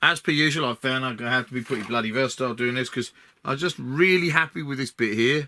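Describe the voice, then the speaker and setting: Speaking very fast with an Essex accent, a man uses a bright, sharp tone at medium pitch with ordinary pitch variation. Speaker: scenery modeller. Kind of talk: build tutorial commentary. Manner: casual, halting with fillers.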